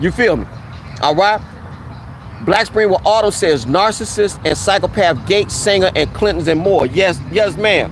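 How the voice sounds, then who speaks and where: Over noticeable background noise, a speaker with an American accent talks at a moderate pace, keeping loudness very even and pitch variation ordinary. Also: man, high pitch for a man. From US South, Mississippi. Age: 50s. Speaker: YouTuber. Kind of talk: live stream chat. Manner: casual, informal.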